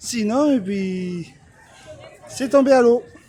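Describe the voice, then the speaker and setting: Against crowd noise in the background, a man with a high pitch and lively intonation speaks at a very slow pace. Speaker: vlogger. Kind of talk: casual vlog narration. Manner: hesitant, many fillers.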